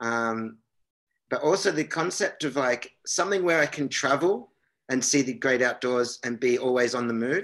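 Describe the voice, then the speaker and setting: A man with an Australian accent talks at medium pitch and a moderate pace. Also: lively intonation. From Australia, Canberra. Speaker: pro inline skater. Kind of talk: casual chat. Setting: video call.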